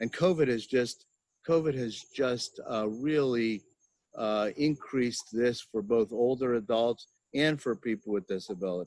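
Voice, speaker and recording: A man with an American accent talks in an ordinary speaking voice at a medium pitch and moderate pace, with ordinary pitch variation, in a dry, close sound with no echo. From Pennsylvania. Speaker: psychology professor. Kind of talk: interview.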